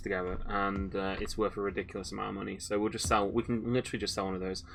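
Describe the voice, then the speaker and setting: A man at a very fast pace, with a fairly low pitch and fairly even intonation. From English Midlands. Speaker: gaming streamer. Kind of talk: live gameplay commentary. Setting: livestream. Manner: hesitant, many fillers and restarts.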